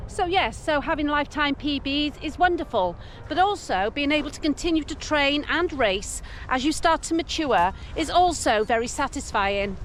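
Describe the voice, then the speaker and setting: With an English accent, a woman speaks at a high pitch with lively intonation over noticeable background noise. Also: moderate pace. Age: 60s. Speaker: running coach. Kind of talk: scripted narration.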